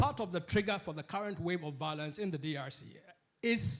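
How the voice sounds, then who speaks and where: Loud and at a fairly quick pace, a man speaks with ordinary pitch variation on a very clean recording with a silent background. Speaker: political economist and panellist. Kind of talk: panel discussion. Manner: halting, many false starts.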